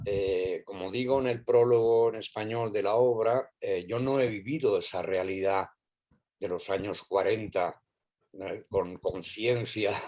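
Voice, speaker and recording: Fairly even in intonation, the man's medium-pitched voice has a dark, mellow tone. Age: 80s+. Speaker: playwright. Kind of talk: panel discussion. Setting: video call. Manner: halting.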